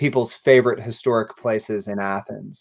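With an American accent, a man talks in an ordinary speaking voice at a moderate pace against a quiet background. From US South. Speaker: nonprofit director and show host; interview host for history organization. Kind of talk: interview; livestream announcements. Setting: livestream. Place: home room. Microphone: video call.

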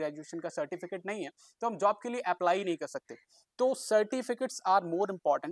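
Recorded very cleanly against a silent background with a dry, close sound and no echo, a man with a high pitch speaks at a moderate pace with ordinary pitch variation. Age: 20s. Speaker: martial artist. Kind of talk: vlog monologue.

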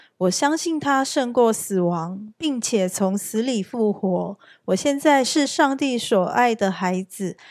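In a very clean recording with a silent background and a dry, close sound with no echo, a woman with a fairly high pitch talks very slowly with lively intonation. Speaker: scripture reader. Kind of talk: reading aloud. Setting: church.

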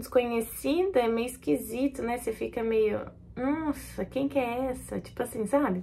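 A woman's high voice in an animated tone, with ordinary pitch variation and light background noise. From Brazil. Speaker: YouTuber, new mother; YouTuber. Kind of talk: casual vlog talk to camera. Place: home room. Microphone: phone near.

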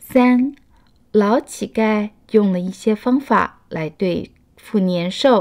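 Speaking at a very slow pace, a woman with a Taiwanese accent uses a fairly high pitch. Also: ordinary pitch variation. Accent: Taiwanese Mandarin. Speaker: children's storyteller. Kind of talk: children's picture book read-aloud.

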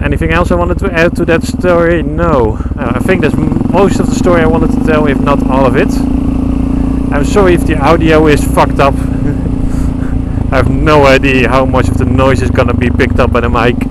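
A man talks fairly quickly as loud noise carries on behind him. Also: dry sound with no echo. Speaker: motorcycle vlogger. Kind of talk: casual vlog chat. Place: motorbike. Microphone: helmet.

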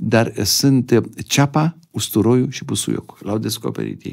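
A man's dark, mellow tone at a fairly slow pace over a quiet background. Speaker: neurosurgeon and professor; professor. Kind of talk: interview. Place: studio. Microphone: studio mic.

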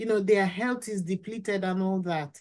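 A woman speaks with fairly even intonation against a quiet background. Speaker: podcast guest. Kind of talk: interview answer. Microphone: video call.

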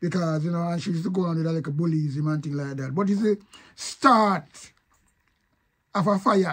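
A man with a high pitch and a Jamaican accent, at a moderate pace with long, frequent pauses and ordinary pitch variation. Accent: Jamaican Patois. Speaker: online commentator. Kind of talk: casual video commentary.

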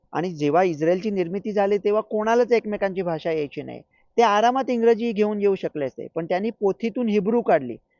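Animated in tone, a man speaks at a high pitch with ordinary pitch variation. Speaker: doctor and commentator. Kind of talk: comic monologue.

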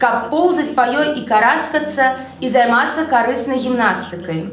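At a fairly quick pace, a woman talks in a high pitch, with light background noise and audible room echo. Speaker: literary scholar; conference speaker. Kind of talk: conference talk. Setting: stage with audience. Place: hall. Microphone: podium.

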